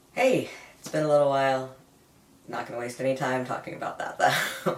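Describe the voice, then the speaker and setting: The talking is fairly quick. Noise can be noticed behind it. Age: 20s. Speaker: vlogger. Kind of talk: personal vlog update. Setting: home room with sound dampening.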